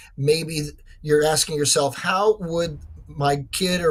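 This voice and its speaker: A man speaks in a high voice at a moderate pace. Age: 60s. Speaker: author. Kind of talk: interview.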